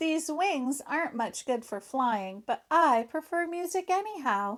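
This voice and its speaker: A put-on character voice with very wide pitch swings moves at a fairly slow pace on a very clean recording with a silent background. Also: woman, high pitch for a woman. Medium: read story.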